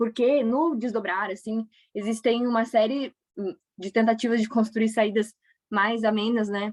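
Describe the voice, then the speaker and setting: A woman's unremarkable speaking voice, fairly high in pitch, at a fairly slow pace with fairly even intonation, in a dry, close sound with no echo. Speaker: history teacher. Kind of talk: lecture.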